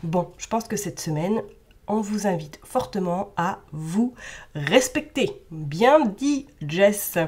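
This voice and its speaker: A woman talks at a very slow pace in a somewhat breathy voice. Her medium pitch swings very widely. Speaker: tarot card reader. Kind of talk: tarot reading.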